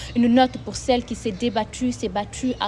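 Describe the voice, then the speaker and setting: A woman's voice over noticeable background noise. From Senegal. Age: 20s. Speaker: nursing student and slam poet. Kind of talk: slam poetry performance.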